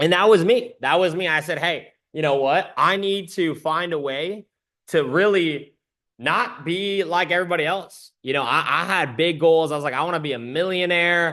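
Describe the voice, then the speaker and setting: Speaking at a moderate pace, a man uses a high pitch and a bright, sharp, animated tone with ordinary pitch variation. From Canada, Waterloo, Ontario. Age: 20s. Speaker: trading community presenter. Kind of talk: webinar presentation. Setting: video call.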